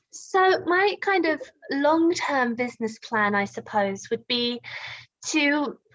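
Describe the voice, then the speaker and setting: A woman with a British accent speaks at a very slow pace, her high voice making very wide pitch swings. Her loudness stays very even throughout. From UK. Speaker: video editor and online teacher. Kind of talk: casual chat.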